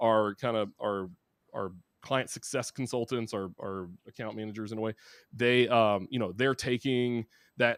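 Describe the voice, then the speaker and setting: A man with a Southern US accent, medium pitch, fairly even intonation and a moderate pace. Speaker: marketing executive. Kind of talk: interview. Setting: live podcast.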